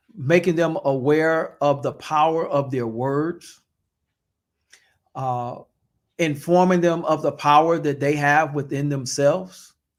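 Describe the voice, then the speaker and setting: Fairly high in pitch, a man speaks at a fairly slow pace with fairly even intonation. Long, frequent pauses fall across a very clean recording with a silent background. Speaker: pastor. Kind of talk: podcast interview answer.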